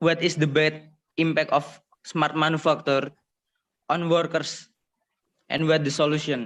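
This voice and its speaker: A man with an Indonesian accent, fairly high pitch, monotone, flat intonation and very even loudness, at a fairly slow pace with long, frequent pauses. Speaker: student participant. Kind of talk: audience question. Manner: hesitant.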